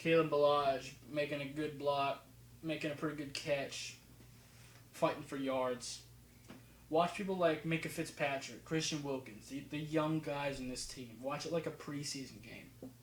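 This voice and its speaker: A man with an American accent speaks at a moderate pace in a fairly high pitch with fairly even intonation and audible room echo. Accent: New Jersey accent, slipping in at times. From New Jersey until age six, then elsewhere. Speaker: football film analysis youtuber. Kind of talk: casual video commentary. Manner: casual, halting with fillers.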